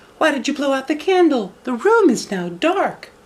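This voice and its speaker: A man puts on a character voice. It is extremely high in pitch and moves at a moderate pace. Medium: read story. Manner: careful, clever.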